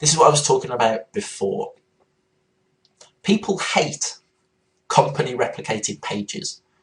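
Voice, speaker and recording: A somewhat breathy man with a fairly high pitch, very wide pitch swings and long, frequent pauses. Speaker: internet marketing trainer. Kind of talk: webinar-style training presentation. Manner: fast.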